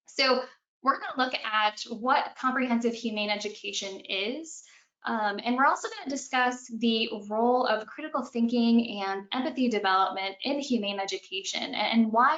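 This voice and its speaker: Using a plain, everyday voice, a woman speaks at a fairly high pitch and a moderate pace, with ordinary pitch variation. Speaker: animal behavior consultant and trainer. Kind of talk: webinar presentation. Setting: online webinar.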